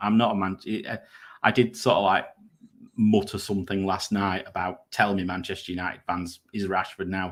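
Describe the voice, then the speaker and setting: Speaking with a northern English accent, a man talks at a moderate pace in a fairly low pitch. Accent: regional northern English pronunciation. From northern England, Grimsby. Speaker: fantasy football content creator. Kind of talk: casual live stream chat.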